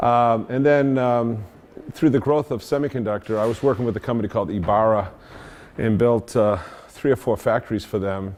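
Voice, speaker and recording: Fairly quick in pace, a man speaks with a strong Boston accent. His medium pitch shows ordinary variation. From Boston area, US. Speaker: engineering consultant and industry veteran. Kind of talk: talk to an audience. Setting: meetup talk with audience. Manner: halting, many fillers.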